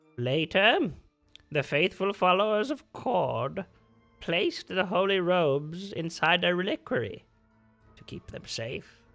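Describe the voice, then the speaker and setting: A man's put-on character voice with a high pitch and lively intonation at a fairly slow pace, over faint background music. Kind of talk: legend recounting. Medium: actual play. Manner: formal, measured.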